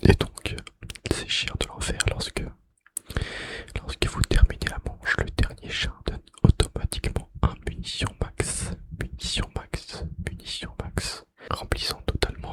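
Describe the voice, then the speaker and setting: A man whispers fairly slowly while noticeable background noise plays behind him. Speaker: ASMR creator. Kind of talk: ASMR gaming facts whispered while playing. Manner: whispered; repetitive trigger words.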